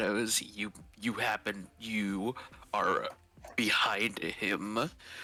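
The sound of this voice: An unforced reading voice is heard.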